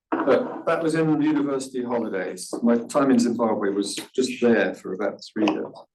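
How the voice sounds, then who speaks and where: A man's medium-pitched voice at a moderate pace, with ordinary pitch variation, hardly any pauses and audible room echo. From England, Birmingham. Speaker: professor of medical statistics. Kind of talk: interview.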